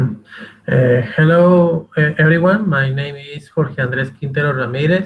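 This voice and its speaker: This man talks fairly slowly with a Spanish accent, barely pausing at all. His voice sits fairly high in pitch and shows ordinary pitch variation. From Colombia, Ocaña, Norte de Santander. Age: 20s. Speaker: language student. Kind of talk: self-introduction in class. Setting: video call. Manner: halting.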